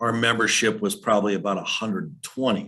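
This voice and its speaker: This man has a plain, everyday voice, pitched in the middle and delivered with fairly even intonation. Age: 60s. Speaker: historical society leader. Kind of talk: presentation.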